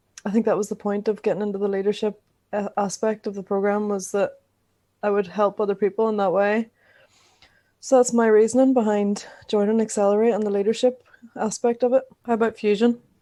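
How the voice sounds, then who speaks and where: Over a quiet background, a woman's dark, mellow, medium-pitched voice moves at a fairly quick pace in a flat monotone, with long, frequent pauses. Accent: Northern Irish. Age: 20s. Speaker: podcast co-host, youth program participant. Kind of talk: casual chat. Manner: halting.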